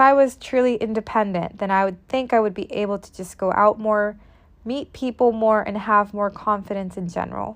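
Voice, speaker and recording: A woman with a normal speaking voice talks at a moderate pace and a fairly high pitch, her intonation fairly even. Her loudness swings widely over a quiet background. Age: 20s. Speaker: podcast host. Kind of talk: solo monologue podcast.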